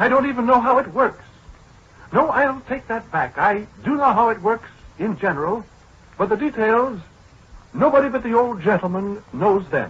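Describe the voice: A man puts on a character voice with a high pitch, a fairly bright tone and a husky, rough edge. He speaks at a moderate pace with lively intonation.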